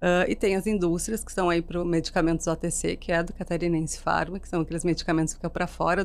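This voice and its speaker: Speaking at a fairly quick pace, a woman with a slight southern Brazilian accent uses a fairly low pitch and some vocal fry. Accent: gaúcho accent, slight. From Rio Grande do Sul, southern Brazil. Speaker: marketing executive. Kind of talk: interview podcast.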